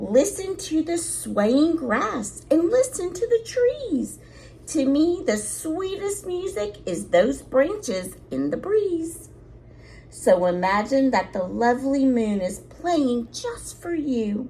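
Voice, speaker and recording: Using a put-on character voice, a woman speaks very slowly at a high pitch with very wide pitch swings, against clear background noise. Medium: read story. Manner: gentle, polite.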